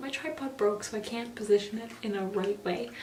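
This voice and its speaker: A woman whispers at a moderate pace. Noticeable background noise and audible room echo surround her. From Canada. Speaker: beauty vlogger. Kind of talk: video diary. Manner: whispering.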